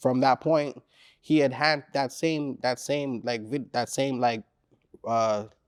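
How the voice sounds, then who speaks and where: Recorded very cleanly against a silent background, a man with a Caribbean accent talks at a very slow pace with long, frequent pauses, a medium pitch and ordinary pitch variation. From Caribbean descent. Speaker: rapper. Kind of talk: interview. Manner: casual, laid-back.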